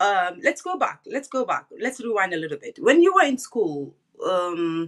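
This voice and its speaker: Someone with a Gambian accent speaks at a moderate pace. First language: Wolof. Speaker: online talk show host. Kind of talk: interview. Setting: live stream.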